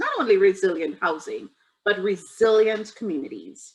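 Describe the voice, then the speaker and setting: A woman speaks with a Trinidadian accent at a fairly high pitch. Her intonation is lively and her pace fairly slow. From Trinidad and Tobago. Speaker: federal reserve bank community development official. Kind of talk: panel presentation.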